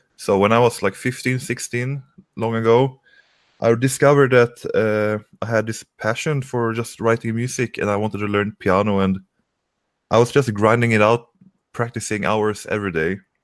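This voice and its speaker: On a very clean recording with a silent background, a man with a Swedish accent speaks at a moderate pace in a medium pitch with fairly even intonation. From Sweden. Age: 20s. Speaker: independent musician. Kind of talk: interview.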